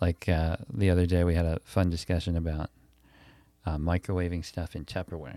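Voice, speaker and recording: In a dark, mellow tone and an American accent, a man speaks at a fairly quick pace with a very deep, low pitch and monotone, flat intonation, on a very clean recording with a silent background and a dry, close sound with no echo. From Milwaukee, Wisconsin, US Midwest. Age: 30s. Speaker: podcast host and comedian. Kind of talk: casual interview chat.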